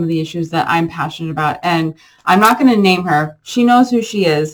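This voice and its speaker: Ordinary pitch variation runs through a woman's voice. She talks at a fairly quick pace. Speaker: therapist. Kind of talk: unscripted vlog monologue. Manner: fast; animated.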